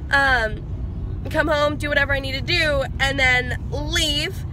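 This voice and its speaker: Noticeable background noise runs under a woman speaking at a fairly slow pace. Her sound is dry, with no echo. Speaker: vlogger. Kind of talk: casual vlog chat. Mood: excited, happy. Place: car. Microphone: phone near.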